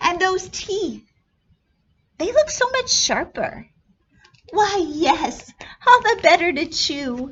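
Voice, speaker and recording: A woman's put-on character voice at an extremely high pitch, very slow and broken by long, frequent pauses. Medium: read story.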